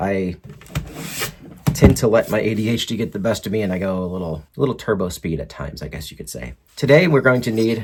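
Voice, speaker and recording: Talking at a fairly quick pace with an American accent, a man shows very wide pitch swings and vocal fry. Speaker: RC hobby video host. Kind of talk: tutorial. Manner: fast; casual.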